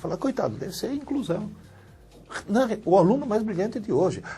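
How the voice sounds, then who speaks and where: Background music plays throughout. A man talks very fast. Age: 60s. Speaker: university professor, educator. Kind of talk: interview.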